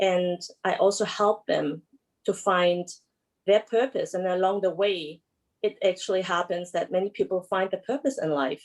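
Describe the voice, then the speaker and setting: Talking at a moderate pace with a German accent, a woman of medium pitch shows ordinary pitch variation. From Germany. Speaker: emotional release therapist. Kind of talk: panel discussion self-introduction. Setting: video call.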